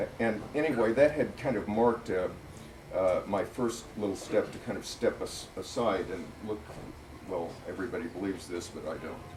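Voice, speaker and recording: Noticeable background noise sits behind a man with an American accent talking at medium pitch and a moderate pace. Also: ordinary pitch variation. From US Midwest (Missouri Ozarks). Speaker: author and political writer. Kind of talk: public talk at a bookstore. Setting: bookstore event with audience. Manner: hesitant, many fillers.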